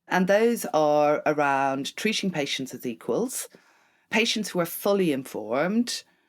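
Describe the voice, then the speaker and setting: A woman with an Irish accent speaks at a fairly slow pace in a very deep, low pitch with very wide pitch swings. The recording is very clean and the background silent. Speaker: charity chief executive. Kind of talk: interview.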